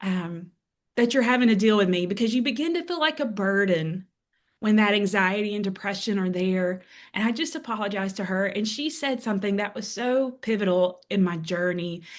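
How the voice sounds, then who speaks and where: A woman with a Southern US accent talks at a fairly quick pace. Her medium-pitched voice has lively intonation. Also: quiet background. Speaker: author and speaker. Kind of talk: interview testimony.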